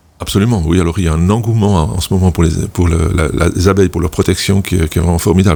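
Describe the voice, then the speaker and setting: Over noticeable background noise, a man with a very deep, low voice talks very fast with fairly even intonation. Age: 60s. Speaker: beekeeper. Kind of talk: radio interview. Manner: halting, many repetitions.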